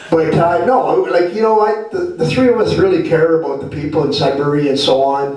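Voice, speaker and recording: A man with a Canadian accent is heard with audible room echo and noticeable background noise. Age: 60s. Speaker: health and homelessness advocate, guest speaker. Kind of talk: talk to a live audience. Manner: casual, plain-spoken.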